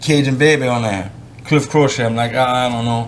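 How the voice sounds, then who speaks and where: Speaking fairly quickly in a Louisiana accent, a man with a medium pitch keeps his intonation fairly even while audible room echo surrounds him. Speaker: professional bass angler. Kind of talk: casual interview. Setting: writer's conference.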